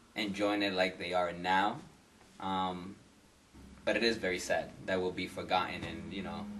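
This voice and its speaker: A man with an American accent speaks at a fairly low pitch. His moderate pace carries audible room echo. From Massachusetts (Lawrence, near Boston). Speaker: salsa dancer. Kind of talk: interview.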